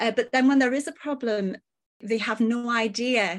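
In a very clean recording with a silent background, a woman with an ordinary speaking voice talks fairly slowly at a fairly high pitch, her intonation fairly even. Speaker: men's health clinician. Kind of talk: interview discussion.

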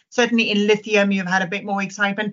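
A woman with a South African accent. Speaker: fund manager. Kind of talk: casual chat.

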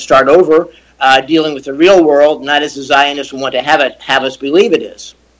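This man has a plain, everyday voice with a fairly high pitch. His intonation stays fairly even. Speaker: attorney and former diplomat. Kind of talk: radio panel debate.

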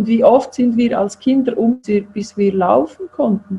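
In a Swiss accent, the speaker talks at a fairly slow pace with lively intonation. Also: woman. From Switzerland, Zurich. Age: 50s. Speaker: self-employed health practitioner. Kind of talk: interview.

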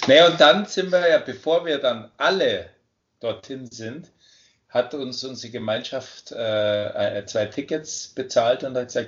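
Talking at a very slow pace, a man lets his loudness swing widely. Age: 50s. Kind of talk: interview.

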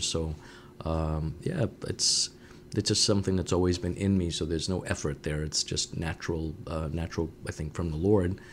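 Speaking with a New England accent, a man uses a very deep, low pitch and fairly even intonation at a moderate pace. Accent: New England American. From Woonsocket, Rhode Island (French-Canadian family). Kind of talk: interview.

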